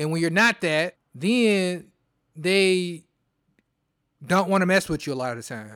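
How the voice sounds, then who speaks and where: In a very clean recording with a silent background, a high-pitched man speaks with an animated tone and lively intonation. He takes long, frequent pauses, and his loudness swings widely. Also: fairly slow pace. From US Midwest, Detroit. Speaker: podcast host. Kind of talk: solo monologue podcast.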